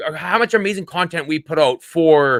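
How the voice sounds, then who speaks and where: Speaking in a Canadian accent at a fairly high pitch, a man has a bright, sharp tone, ordinary pitch variation, and a moderate pace in a dry, close sound with no echo. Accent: Canadian, noticeable 'about'. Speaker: content creator and podcast co-host. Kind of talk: casual chat.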